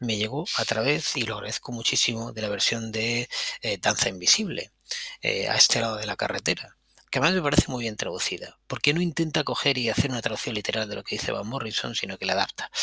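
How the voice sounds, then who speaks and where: With a Spanish accent, a man talks very fast at a medium pitch with ordinary pitch variation, the sound dry and close with no echo. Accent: Peninsular Spanish. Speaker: podcast host, music commentator. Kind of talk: casual solo music commentary. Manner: animated.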